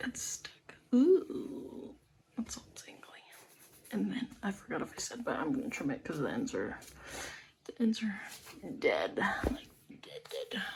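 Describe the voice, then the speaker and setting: A quiet woman, high in pitch with very wide pitch swings, at a fairly slow pace with long, frequent pauses and big swings in loudness. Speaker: lifestyle vlogger. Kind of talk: casual vlog chat. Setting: at home.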